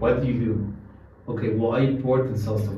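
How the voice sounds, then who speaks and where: Over noticeable background noise, a man with a Mexican accent talks at a very fast pace. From Mexico City. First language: Spanish. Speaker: Bitcoin ATM business founder. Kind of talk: interview conversation. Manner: halting, many fillers.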